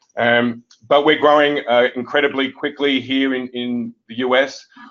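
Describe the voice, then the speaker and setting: In an Australian accent, a man speaks at a moderate pace with flat, monotone intonation. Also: medium pitch for a man. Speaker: software company executive. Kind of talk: webinar presentation.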